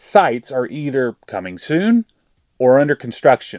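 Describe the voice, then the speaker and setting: A man speaks with an Arkansas accent, his pitch swinging very widely. The recording is very clean, with a silent background. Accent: Arkansas Southern. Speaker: EV charging YouTuber. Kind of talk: scripted narration.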